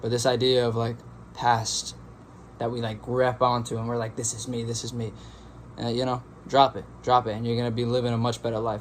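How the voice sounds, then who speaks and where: A man talks at a fairly quick pace in a flat monotone, broken up by long, frequent pauses. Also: medium pitch for a man. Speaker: meditation youtuber. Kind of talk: casual monologue. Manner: fast.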